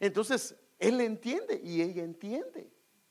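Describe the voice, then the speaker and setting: A man speaks. His pitch is high. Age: 50s. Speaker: pastor. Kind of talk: sermon.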